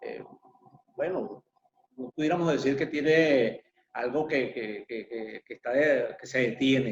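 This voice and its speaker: A man with a fairly high voice and ordinary pitch variation speaks at a fairly slow pace, with long, frequent pauses and big swings in loudness, the sound dry and close with no echo. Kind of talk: interview host questions.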